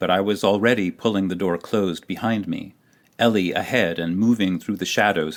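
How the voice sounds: The natural reading voice shows ordinary pitch variation from line to line.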